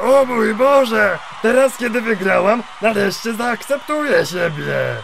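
A man's put-on character voice, high-pitched at a moderate pace, with clear background noise. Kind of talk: parody fandub comedy. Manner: timid, soft, pleading.

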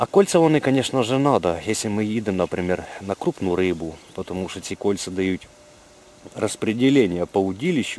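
At a moderate pace, a man speaks with lively intonation over light background noise, the sound dry with no echo. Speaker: angler vlogger. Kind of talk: casual fishing tutorial chat. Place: waterside. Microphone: phone near.

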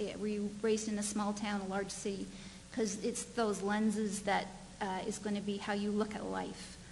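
A woman at a moderate pace with monotone, flat intonation over light background noise. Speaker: conference presenter. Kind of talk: conference presentation. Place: hall.

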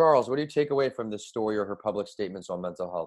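Using ordinary pitch variation, a man speaks with a fairly low voice. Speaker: podcast host and author. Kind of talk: interview podcast.

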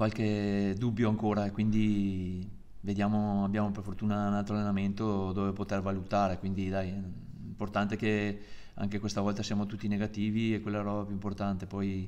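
Delivered at a fairly quick pace, a man's fairly low voice has a dark, mellow tone and a monotone, flat intonation. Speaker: football coach. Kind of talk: press conference answers. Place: hall.

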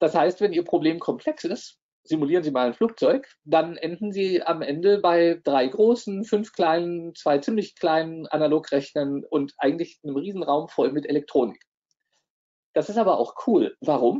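This man talks at a moderate pace with a high pitch. The background is quiet. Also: lively intonation. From Bavaria/Swabia, Germany (Neu-Ulm); Bavaria, Germany. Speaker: professor. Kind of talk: lecture. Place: home room.

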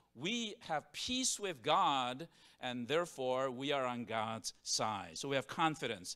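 A man speaks with a bright, sharp tone. The background is quiet. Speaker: preacher. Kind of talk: sermon. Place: church. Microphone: handheld.

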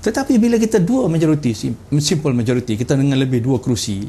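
A man talks at a fairly quick pace. His voice is somewhat breathy with a dark, mellow tone. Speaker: state party leader. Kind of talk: political interview. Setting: studio. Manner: halting, many fillers.

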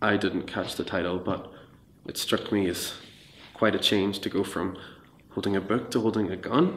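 Fairly even intonation and a moderate pace in a man's fairly low voice. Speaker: storyteller recounting an experience. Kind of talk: interview answer, narrative storytelling. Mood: reflective, dramatic tension. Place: studio.

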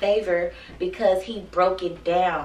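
A woman's voice carries audible room echo. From Texas. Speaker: YouTuber. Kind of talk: casual vlog chat. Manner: animated; laughs often. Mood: grateful, animated storytelling. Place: home room. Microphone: camera far.

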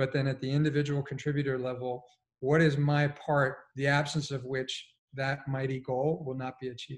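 This man has a fairly high voice with some breathiness and an American accent. He talks at a moderate pace in a flat monotone. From Colombia, raised partly in US. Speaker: executive coach; panelist. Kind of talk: panel discussion. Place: home room.

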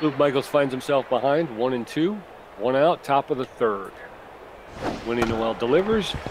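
Noticeable background noise sits behind a man's voice. His intonation is lively, broken by long, frequent pauses. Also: medium pitch for a man, moderate pace. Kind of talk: sports commentary. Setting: video game let's play.

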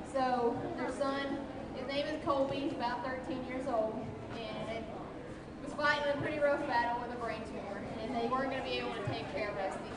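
Over loud background noise and audible room echo, a woman speaks at a fairly quick pace. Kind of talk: public speech. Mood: earnest, touching story. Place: stage.

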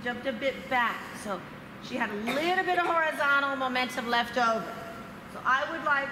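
At a moderate pace, a woman talks in a raised, projected voice with ordinary pitch variation over noticeable background noise. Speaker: trampoline coach presenter. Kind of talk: coaching demonstration talk. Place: gym.

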